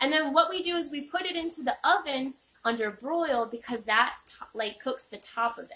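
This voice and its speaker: A woman with a high pitch projects a raised voice in a bright, sharp tone, with lively intonation and big swings in loudness. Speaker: chef. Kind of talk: tutorial. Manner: fast.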